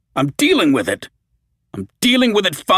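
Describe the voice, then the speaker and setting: The voice is a strained, put-on character voice with a fairly high pitch, delivered at a moderate pace. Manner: strained, through clenched teeth.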